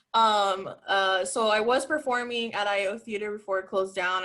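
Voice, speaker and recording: A woman talks at a moderate pace in an unremarkable speaking voice with fairly even intonation. The background is quiet. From Miami, Cuban-American. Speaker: improviser. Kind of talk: panel introduction.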